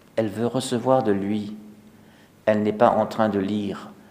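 This man has a fairly low pitch and a fairly slow pace. His voice carries audible room echo. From Alsace, France. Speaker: priest. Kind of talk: sermon. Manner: halting.

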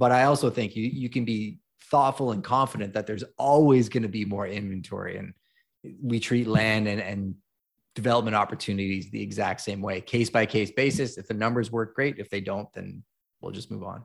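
A man with a Canadian accent and a plain, everyday voice speaks at a fairly low pitch and a fairly quick pace, with ordinary pitch variation. His loudness swings widely, and the recording is very clean with a silent background. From Montreal, Quebec, Canada. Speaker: realtor and real estate investor. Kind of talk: interview.

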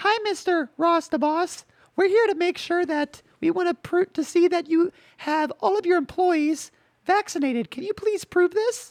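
A put-on character voice, extremely high in pitch, at a moderate pace. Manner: officious.

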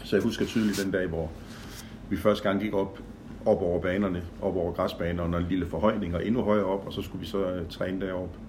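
Audible room echo surrounds a fairly quick, monotone delivery with flat intonation. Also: man, very deep, low pitch for a man. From Denmark, Horsens (East Jutland). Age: 60s. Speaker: event organizer. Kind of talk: personal reminiscence, casual chat. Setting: home visit interview. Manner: hesitant, many fillers.

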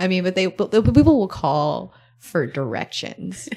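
At a fairly slow pace and in an American accent, this voice shows vocal fry and very wide pitch swings. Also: woman. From US South, Gulf Coast and Florida. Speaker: investigative journalist. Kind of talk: interview conversation.

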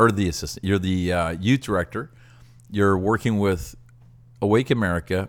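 Here is a man with a plain, everyday voice and a Canadian accent. He has a fairly low pitch and a moderate pace. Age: 60s. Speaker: pastor and podcast co-host. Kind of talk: casual chat.

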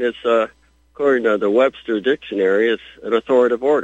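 Speaking fairly quickly with ordinary pitch variation, a man with an American accent has a plain, everyday voice. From Michigan. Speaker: caller. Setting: phone call.

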